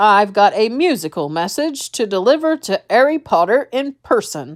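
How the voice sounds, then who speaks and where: Doing a put-on character voice, a woman sounds gruff at a fairly high pitch, her intonation swinging very widely. She keeps a moderate pace on a very clean recording with a silent background. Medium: read story. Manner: gruff, grunting.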